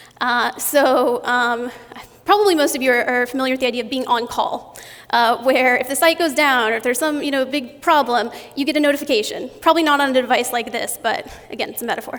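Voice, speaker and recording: A woman talks at a very fast pace. Her pitch is high, with ordinary variation. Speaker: conference speaker. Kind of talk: conference talk.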